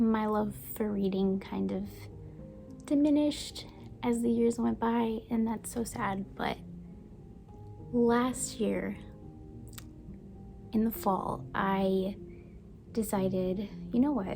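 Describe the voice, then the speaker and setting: A woman speaking very slowly, with long, frequent pauses, over background music. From United States (moved from Brazil at age three). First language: Portuguese. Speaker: book and baking YouTuber. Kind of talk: casual vlog talk.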